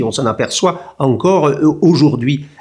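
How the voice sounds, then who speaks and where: A man talks at a very slow pace. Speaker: history professor. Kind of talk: interview.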